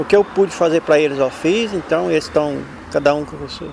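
Noticeable background noise runs under this recording. A man talks with ordinary pitch variation. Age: 50s. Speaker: street car watcher, former bricklayer. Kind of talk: interview testimony.

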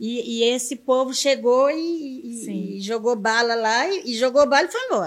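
A high-pitched woman at a fairly slow pace, with hardly any pauses and ordinary pitch variation. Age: 50s. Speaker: community leader. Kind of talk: interview storytelling.

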